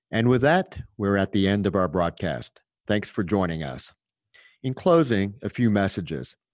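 Moving at a moderate pace, a man speaks with lively intonation. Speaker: podcast host, physician. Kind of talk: interview.

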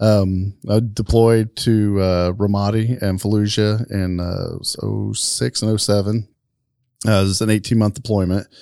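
A man with a fairly low pitch and a dark, mellow tone speaks in a flat monotone at a moderate pace. The recording is very clean, with a silent background. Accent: American. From Marion, Indiana, US Midwest. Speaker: military veteran and security business owner. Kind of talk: casual interview. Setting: studio.

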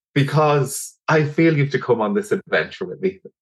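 A fairly high-pitched man at a fairly slow pace, with lively intonation. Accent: Dublin. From Ireland, Dublin. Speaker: doctor and energy healer. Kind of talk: casual chat.

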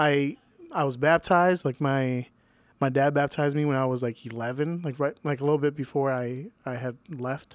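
A man with an American accent at a moderate pace, fairly high in pitch, a plain, everyday voice, with fairly even intonation. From Venezuela, then Chicago area US. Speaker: musician and Salvation Army member. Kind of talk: casual chat.

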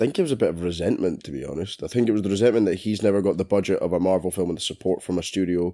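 A man with a British accent talks at a very fast pace with hardly any pauses. His very deep, low voice has a dark, mellow tone and ordinary pitch variation. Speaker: film podcast co-host. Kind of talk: casual chat.

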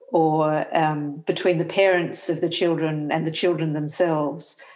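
Someone with an Australian accent talks at a moderate pace with fairly even intonation. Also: woman. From Western Australia (Perth). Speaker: theology professor. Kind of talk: interview.

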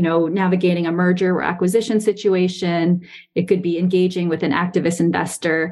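A woman talks at a fairly quick pace in a fairly low pitch, her tone dark and mellow. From Taiwan, from age seven; born in US Northeast. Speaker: business professor. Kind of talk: interview on a webinar. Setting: live webinar with online audience.

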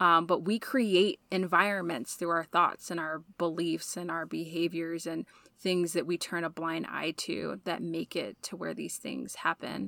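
Fairly low-pitched for a woman, her voice has a bright, sharp tone with vocal fry and fairly even intonation, delivered at a fairly slow pace with hardly any pauses. The sound is dry and close with no echo, on a very clean recording with a silent background. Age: 30s. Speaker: podcast host, women's center staff. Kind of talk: casual chat.

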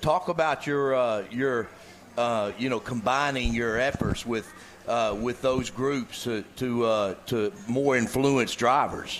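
Very slow speech with ordinary pitch variation over noticeable background noise. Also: man, medium pitch for a man. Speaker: former college quarterback turned radio co-host. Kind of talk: casual sports talk.

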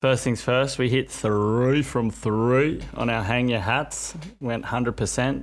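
A man talks at a fairly slow pace with an Australian accent. His intonation stays fairly even. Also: medium pitch for a man. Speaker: sports betting podcast co-host. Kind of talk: casual chat.

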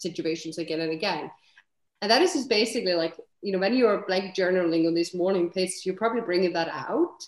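A woman is heard here. She speaks at a medium pitch in an Icelandic accent. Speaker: serial entrepreneur. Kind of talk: interview conversation.

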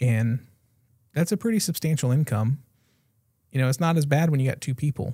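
With an American accent, a man speaks at a fairly quick pace in a dark, mellow, somewhat breathy voice of fairly high pitch, showing ordinary pitch variation and long, frequent pauses. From Florida. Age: 40s. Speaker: podcast host. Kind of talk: casual chat.

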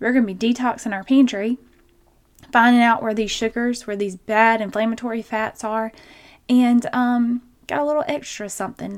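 A woman with a Southern US accent speaks in a warm, animated tone at a fairly high pitch. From Georgia, US South. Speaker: nurse practitioner and podcast host. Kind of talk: solo health podcast episode, conversational. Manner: warm, animated, chatty.

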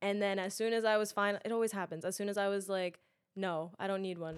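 In a New York accent, a woman speaks at a fairly quick pace in a medium pitch. Her intonation is monotone and flat, on a very clean recording with a silent background. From Queens, New York. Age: 20s. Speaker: actress and influencer. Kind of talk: casual chat.

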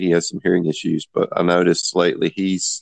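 Someone with a Southern US accent is heard in a dry, close recording with no echo and a quiet background. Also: man. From US South, Greenville, South Carolina. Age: 50s. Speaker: game designer and writer. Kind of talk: casual chat.

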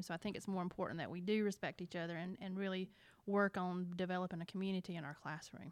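A woman speaks with an Alabama accent and fairly even intonation. The recording is very clean, with a silent background. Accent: Alabama Southern. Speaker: middle school science teacher. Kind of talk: casual interview chat. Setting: school.

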